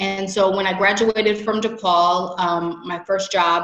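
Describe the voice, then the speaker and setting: With a Chicago accent, a woman talks at a moderate pace in a flat, monotone intonation, with audible echo from the room. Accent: Chicago-area American. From US Midwest. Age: 30s. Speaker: MBA admit; interviewee. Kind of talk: interview. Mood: grateful, reflective. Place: home room. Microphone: video call.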